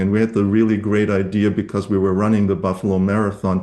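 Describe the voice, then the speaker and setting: The voice has a dark, mellow tone and a monotone, flat intonation, in a German accent. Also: man, quiet background. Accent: German accent, lasting. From Germany. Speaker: novelist. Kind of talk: casual conversation at a reading event. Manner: halting, many fillers.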